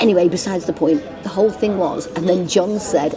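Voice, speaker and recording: Over noticeable background noise, a woman with a strong northern English accent and a fairly low pitch talks at a fairly quick pace in an animated tone. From northern England. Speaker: travel vlogger. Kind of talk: casual chat.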